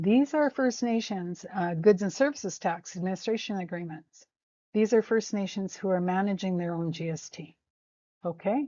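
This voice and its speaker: A woman with a Canadian accent and a plain, everyday voice, medium in pitch, with lively intonation at a moderate pace. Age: 60s. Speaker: First Nations educator. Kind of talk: informal lecture. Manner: conversational, with frequent fillers.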